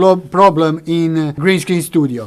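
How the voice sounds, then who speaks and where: Someone with a non-native accent speaks at a fairly slow pace over noticeable background noise. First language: not English. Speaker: video studio hobbyist / youtuber. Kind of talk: tutorial. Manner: halting, many fillers.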